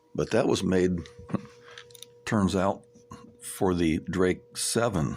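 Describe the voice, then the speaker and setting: Against noticeable background noise, a man speaks at a very deep, low pitch with ordinary pitch variation. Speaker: amateur radio operator and electronics tinkerer. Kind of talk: technical tutorial monologue. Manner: halting, repeats words.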